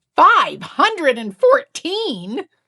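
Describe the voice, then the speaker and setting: A woman's put-on character voice, extremely high in pitch. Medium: read story. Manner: earnest, wide-eyed.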